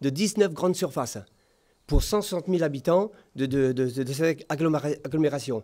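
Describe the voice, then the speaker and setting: A dark, mellow tone moves at a fairly slow pace with ordinary pitch variation over a quiet background. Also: man. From Réunion. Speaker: mayoral candidate; candidate. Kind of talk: political debate; political debate answer. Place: studio. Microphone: studio mic.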